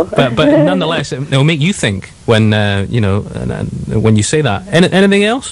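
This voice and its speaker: Over noticeable background noise, a man talks at a moderate pace with hardly any pauses. His pitch swings very widely. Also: medium pitch for a man. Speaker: radio presenter. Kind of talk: live radio presenter talk.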